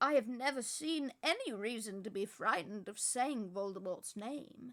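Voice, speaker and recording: A woman uses a put-on character voice, pitched fairly high and delivered at a moderate pace. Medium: read story. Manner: calm, gentle.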